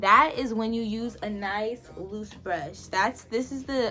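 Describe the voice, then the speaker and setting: With music playing in the background, a woman speaks fairly slowly at a fairly high pitch with ordinary pitch variation. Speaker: beauty vlogger. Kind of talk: makeup tutorial. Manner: casual, chatty; talking loudly.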